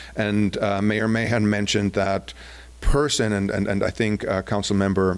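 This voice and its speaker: A man with a German accent, fairly low-pitched, at a moderate pace, with ordinary pitch variation and very even loudness. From Germany. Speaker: downtown business association executive. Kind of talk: public presentation. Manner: hesitant, many fillers.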